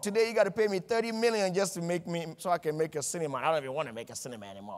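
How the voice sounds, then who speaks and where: In a non-native accent, the speaker talks very fast with an animated tone and very wide pitch swings. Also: man. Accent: foreign. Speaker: motivational speaker. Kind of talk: motivational speech.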